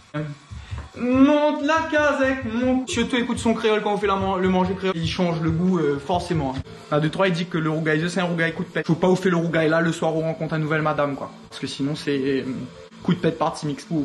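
Over light background noise, a man talks at a fairly quick pace. His pitch is high and his intonation lively. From Réunion. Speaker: home cook. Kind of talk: humorous cooking video narration. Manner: joking, casual. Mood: playful, joking. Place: kitchen.

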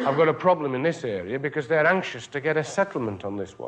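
The speaker has a British accent. The pace is fairly quick. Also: man. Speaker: union official. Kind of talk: conference speech. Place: hall.

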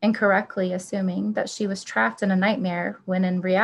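The recording is plain reading aloud.

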